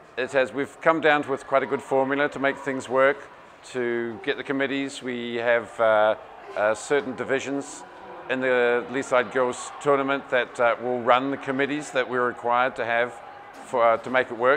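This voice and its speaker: A man speaks with a slight New Zealand accent and monotone, flat intonation. Noticeable background noise runs underneath. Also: medium pitch for a man, moderate pace. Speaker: tournament organizer, parent. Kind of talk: interview.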